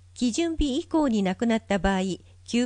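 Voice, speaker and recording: A woman's fairly high voice with lively intonation at a moderate pace, a plain, everyday voice over a quiet background. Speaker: volunteer narrator for visually impaired. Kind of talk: reading aloud. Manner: formal.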